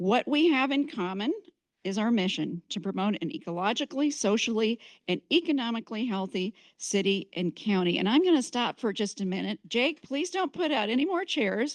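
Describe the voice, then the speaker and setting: Loud and at a fairly high pitch, a woman speaks at a moderate pace with very wide pitch swings, the sound dry and close with no echo against a quiet background. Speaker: community organization leader. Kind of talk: event welcome speech. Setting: community gathering with live audience. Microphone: too quiet at first, then adjusted.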